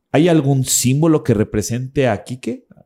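Dark and mellow in tone, a man with a Mexican accent talks at a fairly slow pace with ordinary pitch variation. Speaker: podcast host and spiritual teacher. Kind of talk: interview conversation. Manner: casual, slangy.

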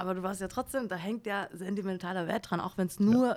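An unremarkable speaking voice moves at a moderate pace. The recording is very clean, with a silent background. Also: woman. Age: 20s. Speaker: creative copywriter and former journalist. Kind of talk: casual chat. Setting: studio.

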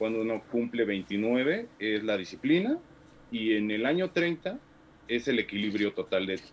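A man with a plain, everyday voice speaks at a fairly slow pace, medium in pitch, with lively intonation. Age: 30s. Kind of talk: discussion.

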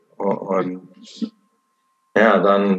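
A man is speaking. He has an American accent. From Portland, Oregon, USA. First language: English (speaking German). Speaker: missionary. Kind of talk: personal testimony.

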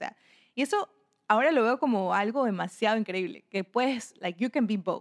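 A woman with a normal speaking voice, fairly high in pitch, speaks at a fairly quick pace with lively intonation, in a dry, close sound with no echo. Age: 20s. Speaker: podcast host. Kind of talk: personal monologue. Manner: casual.

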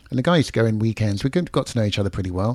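This man has a London accent and a dark, mellow tone. His pitch is medium, with ordinary variation. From London, England. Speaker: podcast host. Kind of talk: casual interview. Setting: video call, remote guest.

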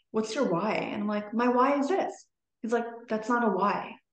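The voice shows ordinary pitch variation against audible room echo. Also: woman. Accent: Canadian. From Toronto, Canada. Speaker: podcast guest. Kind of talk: casual interview chat.

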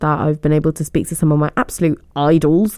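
Animated in tone, a woman with a British accent talks at a fairly quick pace and fairly low pitch. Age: 20s. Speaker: student radio host. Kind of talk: casual radio chat. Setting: radio studio. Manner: chatty, animated.

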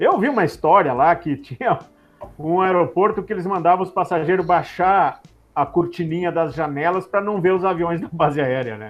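A man at a moderate pace, high-pitched, with ordinary pitch variation. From Rio Grande do Sul, Brazil. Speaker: airline pilot. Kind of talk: casual interview.

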